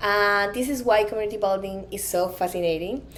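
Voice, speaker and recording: A woman with a Colombian accent at medium pitch, with fairly even intonation and audible room echo. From Colombia, Medellin. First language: Spanish. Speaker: conference speaker, product designer. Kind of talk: conference talk.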